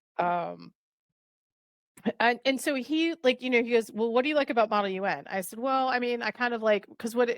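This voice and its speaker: Here a woman speaks with ordinary pitch variation. The sound is dry and close with no echo, in a very clean recording with a silent background. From New Jersey. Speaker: professor. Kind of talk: casual chat.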